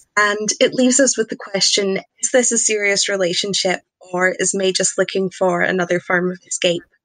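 With a Scottish accent, a woman speaks at a medium pitch and moderate pace, with ordinary pitch variation and a dry, close sound with no echo. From Scotland. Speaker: podcast guest, TV reviewer. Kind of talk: casual chat.

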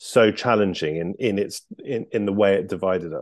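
A plain, everyday voice speaks with ordinary pitch variation at a moderate pace, the background quiet. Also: man. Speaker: podcast interviewer. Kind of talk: interview.

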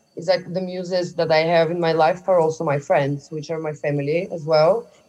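A woman with a Bulgarian accent, fairly low in pitch, at a moderate pace with fairly even intonation. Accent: Eastern European, Bulgarian. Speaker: podcast guest.

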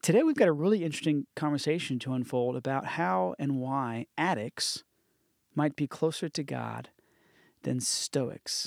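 A man with an unremarkable speaking voice and a fairly high pitch talks at a moderate pace, recorded very cleanly against a silent background with a dry, close sound and no echo. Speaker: podcast host. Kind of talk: casual chat. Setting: studio.

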